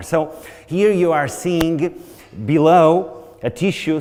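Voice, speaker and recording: A man with a Portuguese accent talks at a fairly slow pace, with audible room echo around him. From Portugal. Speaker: researcher lecturer. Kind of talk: conference lecture.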